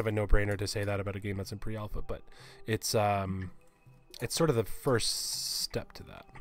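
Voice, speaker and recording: A man speaks at a medium pitch. The sound is dry, with no echo. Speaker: game artist. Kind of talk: live stream chat. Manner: fast; animated. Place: home room.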